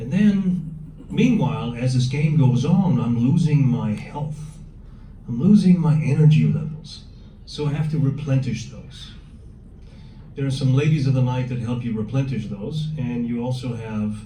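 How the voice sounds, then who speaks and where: Man at medium pitch and a moderate pace, ordinary pitch variation, with audible room echo and noticeable background noise. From Germany. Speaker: police officer. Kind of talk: workshop talk. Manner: conversational, addresses audience directly.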